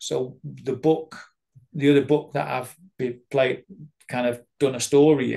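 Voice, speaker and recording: In a Mancunian accent, a man talks at a fairly slow pace with fairly even intonation and a dark, mellow tone. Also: medium pitch for a man. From Manchester, England. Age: 50s. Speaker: addiction recovery worker and therapist. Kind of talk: interview answer.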